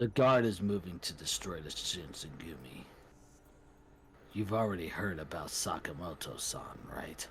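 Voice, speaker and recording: In a put-on character voice, a man speaks with a raspy, very deep, low pitch and lively intonation. He keeps a moderate pace with long, frequent pauses over clear background noise. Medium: game stream. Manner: curt, authoritative.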